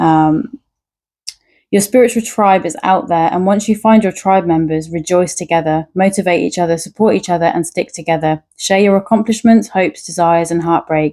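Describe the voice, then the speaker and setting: A woman talks at a moderate pace with a dark, mellow tone. Her pitch varies in an ordinary way. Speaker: tarot reader. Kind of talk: tarot reading with card messages read aloud. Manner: occasional stutter in speech.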